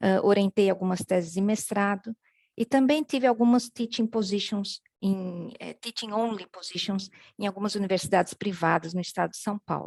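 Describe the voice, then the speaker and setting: A woman with a plain, everyday voice speaks at a medium pitch and moderate pace with ordinary pitch variation, in a dry, close sound with no echo. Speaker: professor. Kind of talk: conference talk.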